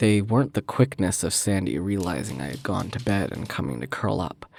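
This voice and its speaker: Showing vocal fry, a man with a fairly low pitch speaks at a moderate pace with lively intonation. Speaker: aspiring voice actor. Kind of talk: horror story narration.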